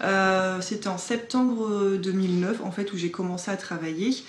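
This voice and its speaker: A woman speaks at a medium pitch and a fairly slow pace, her voice somewhat breathy. Her pitch varies in an ordinary way, and there is audible room echo. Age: 20s. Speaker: social worker. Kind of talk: documentary interview.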